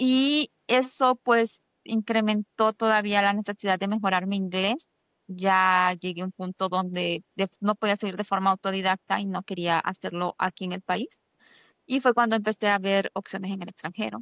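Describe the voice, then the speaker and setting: An unremarkable speaking voice, fairly level in intonation, at a medium tempo. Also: woman, medium pitch for a woman. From Honduras, San Pedro Sula. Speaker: doctoral student. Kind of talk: interview.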